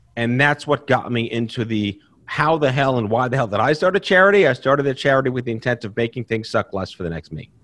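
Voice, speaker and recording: Music plays behind a man who talks at a very fast pace with lively intonation. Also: hardly any pauses. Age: 40s. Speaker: cancer survivor and patient advocate. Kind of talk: interview. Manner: high energy.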